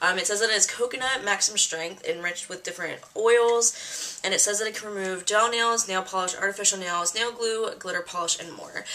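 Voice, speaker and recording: Over noticeable background noise, a woman talks at a fairly quick pace with hardly any pauses, keeping her medium pitch to fairly even intonation. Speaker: beauty vlogger. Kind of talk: casual chat. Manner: casual, filler-heavy.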